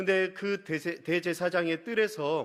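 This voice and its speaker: A high-pitched male voice with a Busan accent, in a very clean recording with a silent background. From Busan, South Korea. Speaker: pastor. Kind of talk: sermon.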